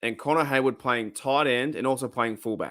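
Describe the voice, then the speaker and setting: A man with an Australian accent and a bright, sharp tone. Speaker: sports fan livestream host. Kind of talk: casual livestream chat. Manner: casual, halting with many restarts.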